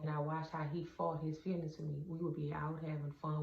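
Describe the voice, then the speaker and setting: Speaking at a moderate pace, a woman with a very deep, low pitch is heard with audible room echo. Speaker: vlogger. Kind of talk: casual monologue. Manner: halting.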